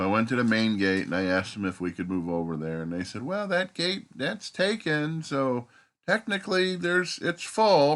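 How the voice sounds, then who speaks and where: Over a quiet background, a man talks at a moderate pace. His pitch makes very wide swings. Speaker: vlogger. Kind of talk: casual vlog talk. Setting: campground, camper bus. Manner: talking low so others can sleep.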